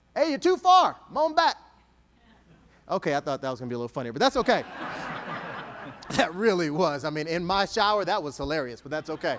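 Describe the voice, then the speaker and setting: At a very fast pace with long, frequent pauses, a man talks in an animated tone, his high pitch swinging very widely. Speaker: motivational speaker. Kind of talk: keynote speech. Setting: stage with audience.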